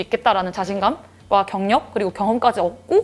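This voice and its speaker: A woman speaks at a very fast pace. Her pitch sits fairly high. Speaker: job applicant in mock interview. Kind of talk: mock job interview.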